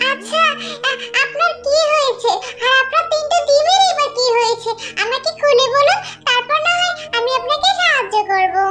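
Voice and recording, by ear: A cartoonish character voice at an extremely high pitch and a moderate pace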